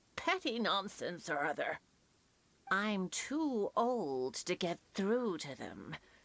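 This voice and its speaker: A woman puts on a character voice and speaks at a fairly slow pace. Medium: video game. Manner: warm, chatty.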